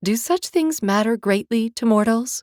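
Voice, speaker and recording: A put-on character voice from a woman, moderately paced and fairly high in pitch. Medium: read story. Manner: curt, formal, aloof.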